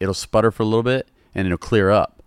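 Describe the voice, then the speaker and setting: Someone speaks at a very fast pace in an animated tone with a Southern US accent, the very clean recording dry and close with no echo and a silent background. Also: man. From Louisiana. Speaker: comedy internet creator and car enthusiast. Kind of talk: casual podcast chat. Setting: podcast recorded in a car detailing shop. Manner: casual, joking, animated.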